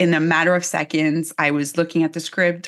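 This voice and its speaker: In an unremarkable speaking voice, a woman with a fairly low pitch talks at a moderate pace against a quiet background. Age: 40s. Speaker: HR expert and researcher. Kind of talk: casual chat.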